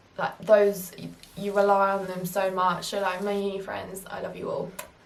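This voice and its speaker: The speech has a moderate pace and monotone, flat intonation. Audible room echo surrounds the voice. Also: woman. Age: 20s. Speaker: YouTuber, university student. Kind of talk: casual Q&A vlog.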